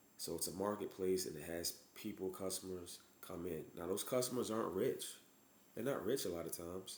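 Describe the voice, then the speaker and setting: A man with a very deep, low voice speaks at a fairly quick pace. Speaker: physician giving business advice. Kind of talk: motivational talk to camera. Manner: halting, stuttering; casual.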